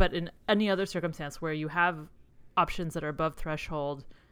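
In an unremarkable speaking voice, a woman with a fairly low pitch talks at a fairly quick pace. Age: 30s. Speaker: psychology professor and podcast co-host. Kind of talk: casual chat. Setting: video call.

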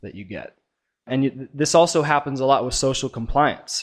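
On a very clean recording with a silent background, a man talks at a moderate pace. He has a medium pitch and an American accent. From US Pacific Northwest (Portland, Oregon). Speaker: client services manager in quality control. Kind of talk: interview.

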